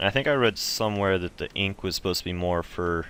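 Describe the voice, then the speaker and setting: Speaking fairly quickly, a man uses a very deep, low voice. His intonation stays fairly even. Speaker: gaming youtuber. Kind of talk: tutorial. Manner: fast; casual with many fillers.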